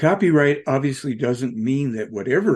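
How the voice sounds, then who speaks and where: With vocal fry and a medium pitch, a man talks at a moderate pace while his pitch swings very widely. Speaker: UFO talk show host. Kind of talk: monologue commentary.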